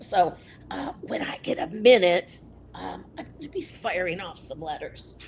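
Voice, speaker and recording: This woman talks at a fairly slow pace, her pitch swinging very widely. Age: 60s. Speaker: advocate for people with voice disorders. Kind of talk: interview.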